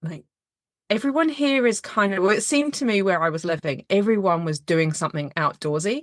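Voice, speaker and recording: A woman's medium-pitched voice at a fairly quick pace, with very wide pitch swings, over a quiet background. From UK. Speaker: podcaster and endurance athlete. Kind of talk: casual interview.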